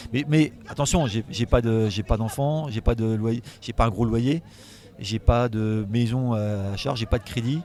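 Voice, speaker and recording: Here a man talks in a medium pitch. His pitch variation is ordinary. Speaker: comic book illustrator. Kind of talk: casual interview. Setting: festival. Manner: fast; animated.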